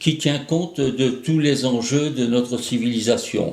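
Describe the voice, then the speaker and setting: A man with a fairly high pitch and ordinary pitch variation is heard with audible room echo. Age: 80s+. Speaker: association president. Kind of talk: scripted address. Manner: hesitant, frequent fillers.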